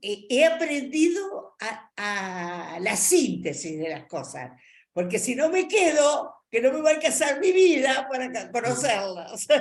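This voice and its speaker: Very wide pitch swings at a very slow pace, with audible room echo. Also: woman. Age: 80s+. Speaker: adult education student. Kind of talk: class discussion. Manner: halting.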